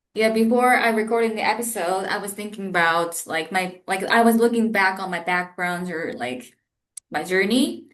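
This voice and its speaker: A woman with an American accent and ordinary pitch variation, in audible room echo. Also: medium pitch for a woman, moderate pace. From Japan. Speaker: project manager, podcast guest. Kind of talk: interview conversation. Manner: hesitant, with fillers.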